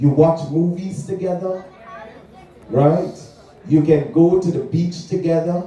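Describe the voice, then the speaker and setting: Amid noticeable background noise and audible room echo, a man with a Guyanese accent speaks fairly slowly in a high, animated voice with long, frequent pauses. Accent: Guyanese Caribbean English. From Guyana. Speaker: preacher. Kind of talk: sermon. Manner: animated call-and-response.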